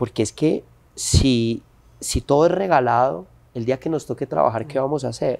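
Medium-pitched male voice with vocal fry, ordinary pitch variation, and a moderate pace. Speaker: actor and entrepreneur. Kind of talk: interview.

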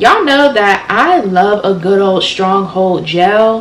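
Audible room echo around a woman's speech, its pitch varying in an ordinary way. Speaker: hair care vlogger. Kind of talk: casual vlog chat, product review. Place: home room.

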